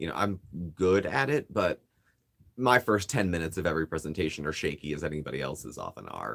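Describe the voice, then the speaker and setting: The speaker talks at a very fast pace with vocal fry. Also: man, very deep, low pitch for a man, lively intonation. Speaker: YouTube vlogger. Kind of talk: casual chat.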